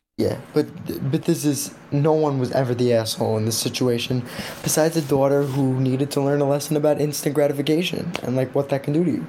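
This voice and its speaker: The words come at a very fast pace, with noticeable background noise present. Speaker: podcast host. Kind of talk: casual chat.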